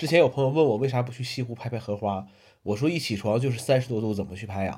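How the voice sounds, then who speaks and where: A man's medium-pitched, somewhat breathy voice, very fast pace, ordinary pitch variation. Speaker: solo podcaster. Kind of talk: casual weekly monologue. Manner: many filler sounds (呃, 嗯).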